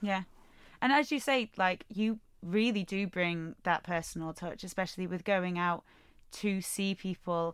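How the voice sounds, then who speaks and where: A woman in a normal speaking voice, medium pitch and ordinary pitch variation, fairly slow pace, very clean recording with a silent background. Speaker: podcast host. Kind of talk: interview podcast.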